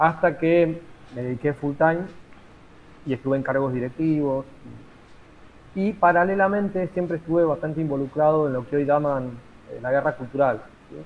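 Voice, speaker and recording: Speaking with a Rioplatense accent, a man has a fairly high pitch. He moves at a moderate pace with long, frequent pauses. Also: ordinary pitch variation, big swings in loudness. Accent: Argentine Rioplatense Spanish. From Argentina. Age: 50s. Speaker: teacher and lawyer, political activist. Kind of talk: interview. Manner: halting, many fillers.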